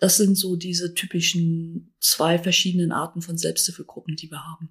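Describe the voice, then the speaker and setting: A woman's somewhat breathy voice. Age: 60s. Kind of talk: interview, explanatory.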